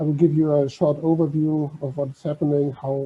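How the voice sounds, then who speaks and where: A man with a German accent talks at a moderate pace, his fairly high voice somewhat breathy. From Germany. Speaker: maritime heritage organisation officer. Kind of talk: conference talk.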